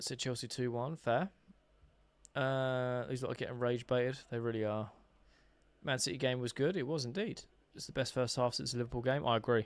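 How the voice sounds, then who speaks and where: A man speaks fairly quickly at a medium pitch, with a slight Essex accent. He leaves long, frequent pauses. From England, Essex. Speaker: football fan streamer. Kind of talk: live football watch-along commentary reading chat. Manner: casual, animated.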